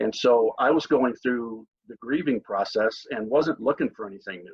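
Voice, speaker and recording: Moderately paced and medium in pitch, a man with an American accent has an ordinary speaking voice. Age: 60s. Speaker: network marketer. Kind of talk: testimony. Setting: video call.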